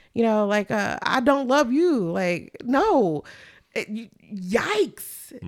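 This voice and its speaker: Very wide pitch swings mark this woman's high voice. The recording is very clean, with a silent background. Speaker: podcast co-host. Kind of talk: casual chat.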